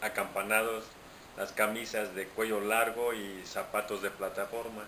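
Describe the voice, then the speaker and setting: A man talks at a fairly slow pace in a medium pitch, his intonation monotone and flat, with noticeable background noise behind him. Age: 60s. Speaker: interviewee. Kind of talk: interview.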